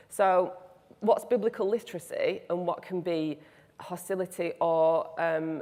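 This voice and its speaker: With a regional British accent, a woman speaks in a fairly low pitch. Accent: regional British accent, non-RP. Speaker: biblical studies lecturer. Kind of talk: panel discussion.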